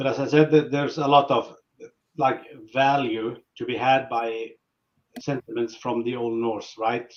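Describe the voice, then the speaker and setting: A man with a Norwegian accent, medium pitch, fairly even intonation and a moderate pace. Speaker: metal band musician. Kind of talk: interview.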